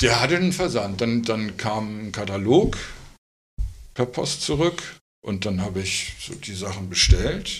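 With lively intonation and big swings in loudness, a man talks at a fairly slow pace, leaving long, frequent pauses, and room echo can be heard. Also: fairly low pitch for a man. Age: 50s. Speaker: tattoo artist. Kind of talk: casual interview. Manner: calm, quiet.

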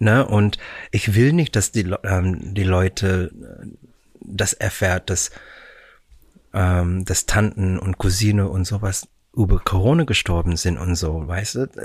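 Very slow and very deep, a man's somewhat breathy voice comes with long, frequent pauses and ordinary pitch variation, dry and close with no echo, on a very clean recording with a silent background. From Canada, Vancouver. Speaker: musical performer. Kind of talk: casual chat. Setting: studio. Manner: halting.

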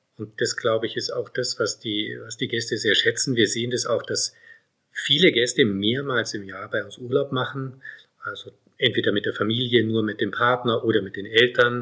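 The speaker goes at a moderate pace, with big swings in loudness. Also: man. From Germany, Munich. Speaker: hotelier and doctor. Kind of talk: interview. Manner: halting, many repetitions.

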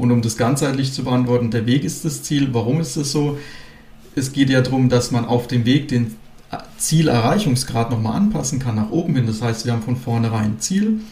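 A man with a medium-pitched voice talks at a moderate pace with ordinary pitch variation, and the room echo is audible. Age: 20s. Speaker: real estate company director. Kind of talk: interview.

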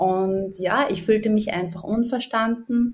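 Somewhat breathy speech with a slight Upper Austrian accent, fairly even intonation and a fairly slow pace. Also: woman. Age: 40s. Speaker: life coach. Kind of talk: interview.

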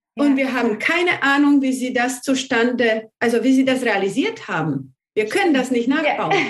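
The voice belongs to a woman and sits high in pitch. Her intonation is lively. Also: moderate pace. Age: 40s. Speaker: numerology consultant. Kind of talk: interview conversation.

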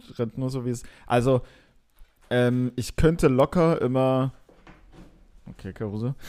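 With long, frequent pauses, a man speaks in a dark, mellow tone at medium pitch, his intonation fairly even but his loudness swinging widely. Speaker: podcast host. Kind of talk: casual chat. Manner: hesitant, many fillers.

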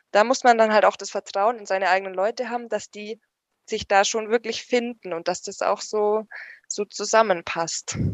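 Speaking at a moderate pace, a woman keeps a medium pitch and fairly even intonation. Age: 20s. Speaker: paramedic and first aid trainer. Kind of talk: casual chat. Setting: at home on the sofa.

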